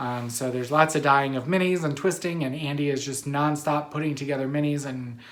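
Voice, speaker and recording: Audible room echo surrounds a man speaking in a fairly high voice. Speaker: knitting podcast host and yarn dyer. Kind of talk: casual chat. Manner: filler-heavy, with frequent um and uh.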